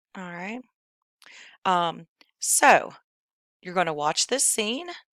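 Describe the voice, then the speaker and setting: In a West Virginia accent, a woman speaks fairly slowly in a fairly low pitch with a bright, sharp tone, and the sound is dry and close with no echo. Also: very clean recording, silent background. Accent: West Virginia twang. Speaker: high school English teacher. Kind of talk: tutorial. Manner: casual, filler-heavy.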